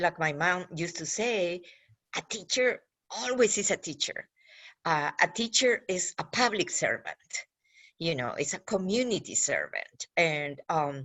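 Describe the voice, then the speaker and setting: Her pitch medium and swinging very widely, a woman with a Peruvian accent speaks at a fairly slow pace. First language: Spanish. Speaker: government outreach official. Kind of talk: panel talk for students. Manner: halting.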